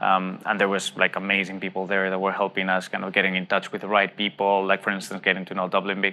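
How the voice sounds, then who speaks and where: A man's fairly low-pitched voice in a Spanish accent. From Spain. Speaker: tech startup CEO. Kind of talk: interview. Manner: hesitant, many fillers.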